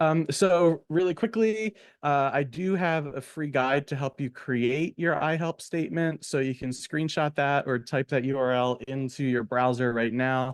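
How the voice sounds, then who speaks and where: A man with an unremarkable speaking voice talks at a fairly high pitch with ordinary pitch variation. His pace is fairly slow with hardly any pauses, and the sound is dry and close with no echo over a quiet background. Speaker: therapist and branding coach. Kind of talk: webinar presentation. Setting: online webinar.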